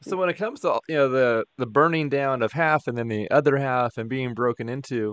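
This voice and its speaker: A man speaks at a moderate pace and medium pitch with ordinary pitch variation, in a plain, everyday voice recorded with a dry, close sound and no echo. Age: 40s. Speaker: podcast host. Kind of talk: interview.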